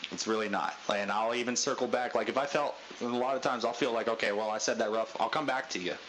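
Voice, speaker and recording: A man speaks at a fairly quick pace in a medium pitch. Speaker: gaming group leader. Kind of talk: team briefing. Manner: loud.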